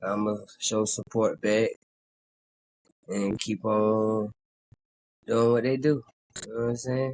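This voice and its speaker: With a slight Southern accent, a man talks at a fairly slow pace and medium pitch in a monotone, flat intonation, leaving long, frequent pauses. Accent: Southern, slight country. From South Carolina. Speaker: southern soul singer. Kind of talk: casual interview. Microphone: signal keeps cutting in and out.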